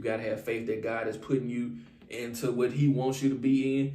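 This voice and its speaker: Against audible room echo, a man speaks at a fairly quick pace with fairly even intonation. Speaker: relationship advice vlogger. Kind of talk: casual advice monologue. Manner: fast.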